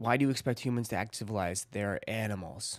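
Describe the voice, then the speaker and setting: A man with a Boston accent speaks at a very fast pace and a fairly low pitch. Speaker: streamer reading chat. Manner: casual, rambling.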